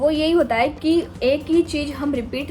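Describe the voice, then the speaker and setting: Music plays behind a woman as she talks. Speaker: UPSC aspirant vlogger. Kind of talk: casual vlog talk. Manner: speaking louder than usual; hesitant fillers.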